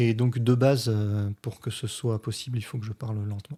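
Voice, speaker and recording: A man speaks at medium pitch in a dark, mellow, somewhat breathy tone. The recording is very clean with a silent background. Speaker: physics teacher and science youtuber. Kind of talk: response video commentary explaining physics. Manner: deliberately slow; hesitant, many filler sounds.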